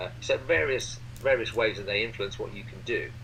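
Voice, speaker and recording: The voice belongs to a man. Audible echo from the room comes through. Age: 60s. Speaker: board game designer. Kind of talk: interview. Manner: halting, many fillers.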